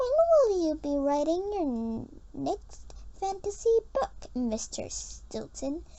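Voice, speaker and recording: Over light background noise, a woman uses a put-on character voice at a fairly slow pace. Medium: read story. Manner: babbling, eager.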